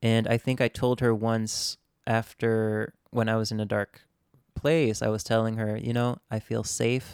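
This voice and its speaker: A man with an American accent talks at a fairly slow pace in a medium pitch, his intonation monotone and flat. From Japan, Tokyo international school community. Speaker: singer-songwriter. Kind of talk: interview.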